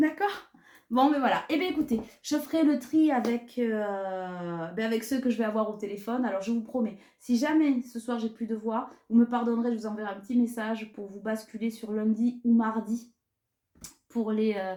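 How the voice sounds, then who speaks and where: A woman with a dark, mellow tone and fairly high pitch speaks at a moderate pace, her loudness swinging widely. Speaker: tarot card reader. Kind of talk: tarot reading. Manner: casual, conversational.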